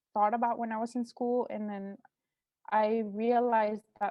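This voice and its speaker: Here a woman speaks at a moderate pace with a Mexican accent. Her fairly high pitch follows a fairly even intonation. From Mexico. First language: Spanish. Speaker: artist. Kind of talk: artist talk. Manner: hesitant, many fillers.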